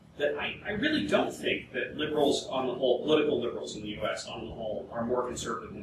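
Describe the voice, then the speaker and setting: A man talking at a very fast pace, with audible room echo and noticeable background noise. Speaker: panelist. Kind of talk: panel discussion. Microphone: camera far.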